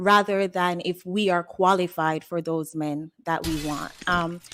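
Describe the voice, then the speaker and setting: In a Jamaican accent, a woman talks at a fairly slow pace, her voice dry and close with no echo on a very clean recording against a silent background. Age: 30s. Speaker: caller. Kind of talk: casual chat.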